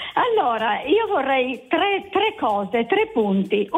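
Under noticeable background noise, a woman speaks at a very slow pace. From Turin, Italy.

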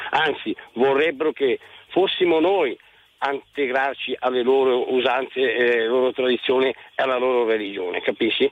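A man's plain, everyday voice at a medium pitch and moderate pace, with ordinary pitch variation and very even loudness. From Lecco, Lombardy, Italy. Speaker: radio caller. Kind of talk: phone-in opinion.

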